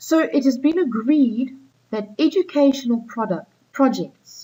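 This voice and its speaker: The voice has a dark, mellow tone, somewhat breathy, with very wide swings in pitch. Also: woman. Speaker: school teacher. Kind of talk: recorded lesson for students.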